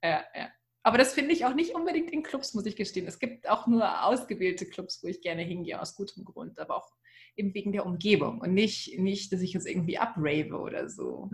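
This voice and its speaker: The voice is somewhat breathy and swings widely in loudness. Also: woman, medium pitch for a woman, lively intonation, fairly quick pace. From Ruhr area, Germany. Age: 30s. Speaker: communications officer and cabaret performer. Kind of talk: casual chat.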